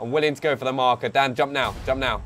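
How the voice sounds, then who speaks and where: A man with a London accent at a fairly quick pace. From England, London. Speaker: gaming streamer. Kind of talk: live gameplay stream commentary. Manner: animated. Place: home room. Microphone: headset.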